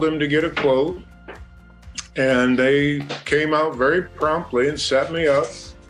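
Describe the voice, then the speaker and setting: There is music in the background. A man talks at a fairly high pitch. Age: 60s. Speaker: homeowner, customer. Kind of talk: customer testimonial.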